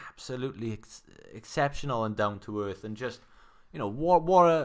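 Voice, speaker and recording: In a Welsh accent, a man with medium pitch talks at a moderate pace, his voice moving in very wide pitch swings. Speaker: sports podcast host. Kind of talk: casual sports chat.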